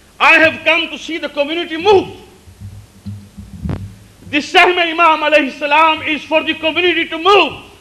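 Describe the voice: A man speaks with an extremely high pitch and a bright, sharp tone. His intonation is fairly even, with long, frequent pauses. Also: moderate pace.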